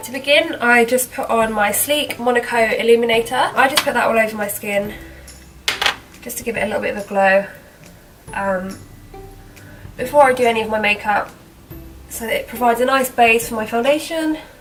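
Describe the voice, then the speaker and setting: Music plays in the background as a woman with a fairly high pitch speaks at a fairly quick pace, broken by long, frequent pauses. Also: ordinary pitch variation, big swings in loudness. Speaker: makeup vlogger. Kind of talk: casual talk to camera.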